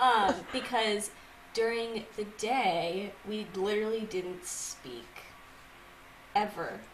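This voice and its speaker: A woman with an American accent, fairly high in pitch, at a very slow pace with long, frequent pauses, plus noticeable background noise and audible room echo. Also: ordinary pitch variation. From Massachusetts. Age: 20s. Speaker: podcast co-host, live TV worker. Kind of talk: casual chat.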